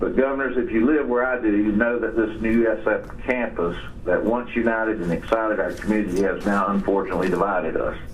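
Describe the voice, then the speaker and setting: With an American accent, a man speaks at a very fast pace amid audible room echo and noticeable background noise. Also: medium pitch for a man, fairly even intonation, very even loudness. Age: 60s. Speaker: businessman. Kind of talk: formal statement. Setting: phone call. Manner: formal.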